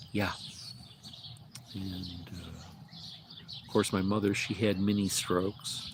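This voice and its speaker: With an American accent, a man speaks at a very slow pace with long, frequent pauses, a fairly low pitch and monotone, flat intonation, amid noticeable background noise and audible room echo. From Illinois, US Midwest. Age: 60s. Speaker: livestreamer. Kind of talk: casual livestream chat. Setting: outdoors in front of his mobile home. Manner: hesitant, many fillers.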